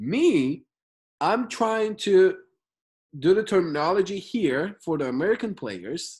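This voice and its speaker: Against a quiet background, a speaker with a Turkish accent goes at a fairly slow pace with long, frequent pauses. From Turkey. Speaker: basketball skills trainer and channel host. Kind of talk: interview.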